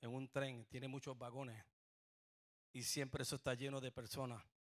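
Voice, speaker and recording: A man's medium-pitched, animated voice at a moderate pace, in a dry, close sound with no echo. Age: 60s. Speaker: pastor. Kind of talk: sermon. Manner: animated, call-and-response.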